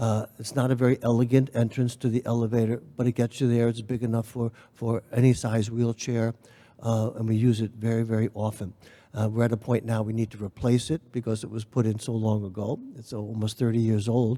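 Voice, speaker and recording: With an American accent, a man of medium pitch speaks fairly quickly in a dark, mellow tone and monotone, flat intonation. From New York City. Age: 70s. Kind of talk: panel discussion. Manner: halting.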